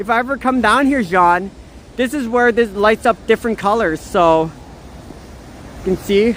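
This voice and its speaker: A woman with a Canadian accent speaks at a moderate pace in a fairly high pitch, with ordinary pitch variation, long and frequent pauses, and noticeable background noise. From Canada, Niagara Falls (Korean-Canadian). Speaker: livestreamer. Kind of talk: casual live-stream chat and walking tour. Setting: outdoors in the snow.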